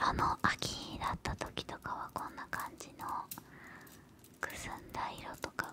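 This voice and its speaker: The speaker is a woman, and she is whispering. Her pace is fairly slow. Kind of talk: soft-spoken role-play ASMR. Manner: soft close-mic ASMR speech. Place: home room. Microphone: studio mic.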